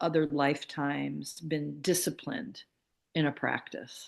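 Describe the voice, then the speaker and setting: A woman's voice over a quiet background. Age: 50s. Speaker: author and spiritual healer. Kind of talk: casual interview chat. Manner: hesitant, with fillers.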